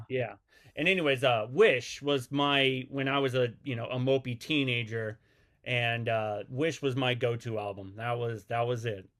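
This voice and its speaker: At a moderate pace, a man with a Midwestern American accent speaks at a medium pitch with fairly even intonation. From US Midwest, Missouri. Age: 40s. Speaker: podcast host. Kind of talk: interview.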